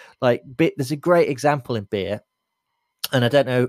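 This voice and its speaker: With an English accent and a moderate pace, a man is heard in dry, close sound with no echo on a very clean recording with a silent background. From England, Lincoln. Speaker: beer writer and photographer. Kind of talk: casual interview. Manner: halting, repeats words.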